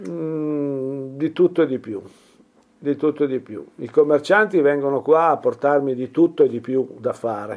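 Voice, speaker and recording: At a fairly slow pace, a man speaks fairly high in pitch with ordinary pitch variation and big swings in loudness. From Piedmont, Italy (Turin). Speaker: furniture and object restorer. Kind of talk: interview. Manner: halting.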